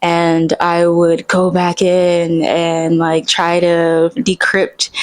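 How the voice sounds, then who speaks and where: A soft-spoken woman talks at a fairly low pitch. Her pitch varies in an ordinary way. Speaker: singer-songwriter. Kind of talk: casual vlog monologue. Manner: casual, hesitant with fillers.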